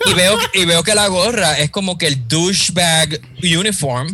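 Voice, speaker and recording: A man with a high pitch at a fairly slow pace, with ordinary pitch variation and very even loudness, over noticeable background noise. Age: 30s. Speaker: graphic designer. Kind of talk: casual chat.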